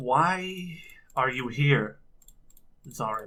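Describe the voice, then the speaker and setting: A man puts on a character voice. His pitch sits in the middle range. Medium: actual play. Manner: firm, measured.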